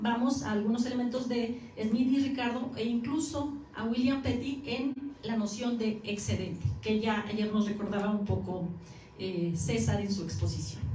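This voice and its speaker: A woman talks at a fairly high pitch with ordinary pitch variation. Audible room echo surrounds her voice. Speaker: academic researcher. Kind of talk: conference lecture. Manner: fast.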